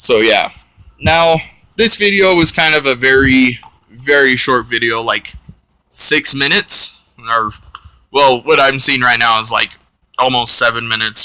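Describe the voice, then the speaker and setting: A man speaks at a medium pitch in a bright, sharp tone, with ordinary pitch variation and very even loudness. His pace is fairly slow, with long, frequent pauses. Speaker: card game deck tech video creator. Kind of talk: casual tutorial.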